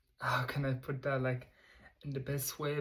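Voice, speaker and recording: This man has a non-native accent, a medium pitch and a somewhat breathy quality. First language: not English. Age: 20s. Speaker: vlogger. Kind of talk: casual monologue to camera. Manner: halting.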